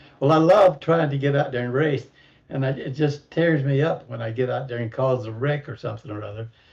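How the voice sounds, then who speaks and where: Somewhat breathy and medium in pitch, a man speaks at a fairly quick pace with a Southern US accent and ordinary pitch variation. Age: 70s. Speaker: sim racing driver. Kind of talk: casual chat.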